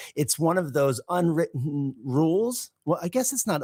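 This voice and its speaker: A man speaks at a moderate pace with a Californian accent. His pitch swings very widely. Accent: California. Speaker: English teacher podcast co-host. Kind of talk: casual chat.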